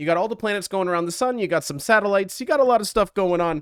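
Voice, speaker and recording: A high-pitched man with an animated tone and lively intonation, in a dry, close sound with no echo. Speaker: strategy game streamer. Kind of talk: gameplay commentary.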